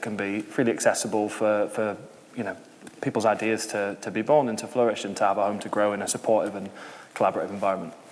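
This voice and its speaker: Keeping his intonation fairly even, a man talks at a medium pitch. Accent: Yorkshire. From York, northern England. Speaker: social enterprise founder. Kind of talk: panel discussion.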